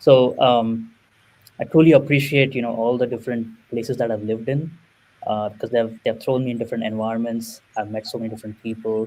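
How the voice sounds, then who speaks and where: A man speaks very fast in a Marathi accent. His tone is dark and mellow, and his intonation stays fairly even. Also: medium pitch for a man. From India and Middle East. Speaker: product manager. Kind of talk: casual interview.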